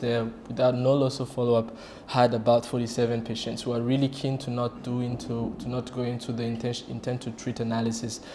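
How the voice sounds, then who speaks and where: The speech moves at a fairly quick pace with audible room echo. Noticeable background noise sits behind it. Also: man. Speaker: radiation oncologist. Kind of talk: conference presentation. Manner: halting.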